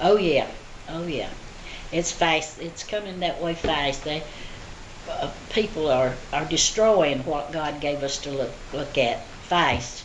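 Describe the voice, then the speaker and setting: A strong Southern US accent at a very slow pace, with long, frequent pauses, ordinary pitch variation, audible room echo and noticeable background noise. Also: woman, very deep, low pitch for a woman. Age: 70s. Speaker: elderly interviewee. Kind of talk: interview answers. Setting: senior center. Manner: halting.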